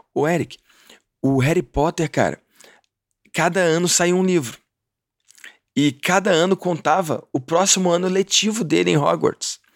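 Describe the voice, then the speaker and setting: A man with a high pitch speaks at a fairly slow pace with long, frequent pauses, ordinary pitch variation and very even loudness, in a dry, close sound with no echo. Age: 30s. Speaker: podcast host. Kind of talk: casual interview chat. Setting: remote call from Orlando.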